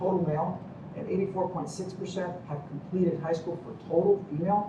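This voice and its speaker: Noticeable background noise and audible room echo surround a man speaking in a high voice. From Cuba, raised in Miami. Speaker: medical professor. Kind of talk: lecture. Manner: animated.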